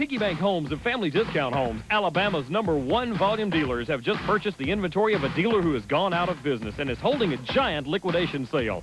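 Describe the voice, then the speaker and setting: Over music in the background, a man with a high pitch talks at a very fast pace with hardly any pauses, very wide pitch swings and very even loudness. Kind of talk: radio/TV commercial read.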